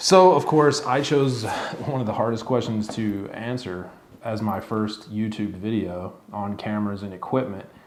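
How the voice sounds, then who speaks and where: A man talks at a moderate pace with a fairly low pitch and ordinary pitch variation. Noticeable background noise and audible room echo fill the recording. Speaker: YouTuber reviewing camera gear. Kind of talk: casual tutorial to camera. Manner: halting, with fillers.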